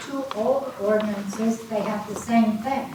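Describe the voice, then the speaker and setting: Delivered in a monotone, flat intonation at a fairly slow pace, the speech has noticeable background noise and audible room echo. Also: woman. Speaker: resident speaking at meeting. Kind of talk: public meeting comment. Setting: township meeting room, not at microphone. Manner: loud.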